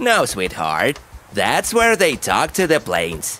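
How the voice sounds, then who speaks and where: In a cartoonish character voice, a man talks at a fairly slow pace with a fairly high pitch. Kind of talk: preschool cartoon voice acting. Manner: warm, patient, explaining.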